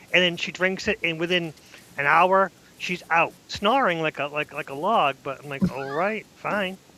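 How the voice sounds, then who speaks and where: With a Boston accent, this man talks at a moderate pace in a high pitch, using ordinary pitch variation. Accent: thick Boston. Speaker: podcast co-host. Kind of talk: casual chat. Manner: animated.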